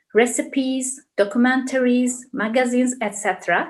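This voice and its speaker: With a Turkish accent, a woman speaks in a high pitch. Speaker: university professor. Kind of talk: interview advice. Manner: halting.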